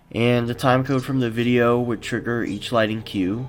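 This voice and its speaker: With music going behind him, a man keeps a moderate speaking pace. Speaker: motion graphics designer. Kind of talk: behind-the-scenes narration.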